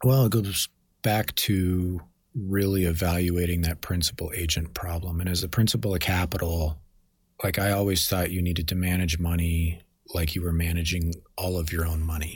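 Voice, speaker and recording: Somewhat breathy, a man speaks with a very deep, low pitch and fairly even intonation. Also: moderate pace. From Denver, Colorado. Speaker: fund manager. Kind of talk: interview.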